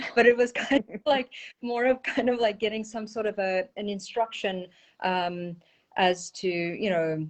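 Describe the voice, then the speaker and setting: With a South African accent, a woman speaks at medium pitch and a moderate pace. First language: Portuguese. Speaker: energy healer and intuitive. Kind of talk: interview.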